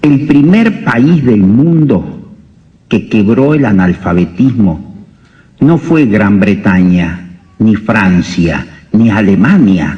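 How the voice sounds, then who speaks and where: A man's fairly low voice with very wide pitch swings, very even loudness, a very slow pace and audible room echo. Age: 60s. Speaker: doctor. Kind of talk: lecture.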